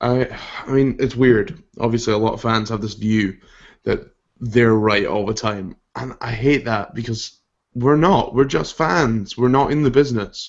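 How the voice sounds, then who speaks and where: This man speaks with a Scottish accent. His pitch is medium and its variation ordinary. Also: moderate pace. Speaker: podcast host. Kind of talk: casual chat.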